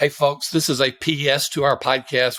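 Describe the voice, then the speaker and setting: A man in a Southern US accent speaks with fairly even intonation in a very clean recording with a silent background. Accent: Southern drawl. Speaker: podcast host. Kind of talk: podcast monologue.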